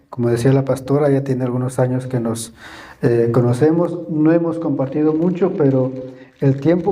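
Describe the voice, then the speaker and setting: Medium-pitched male voice with fairly even intonation and audible room echo. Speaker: guest preacher. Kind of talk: sermon. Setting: church. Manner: halting, many fillers and repetitions; sometimes very slow and quiet.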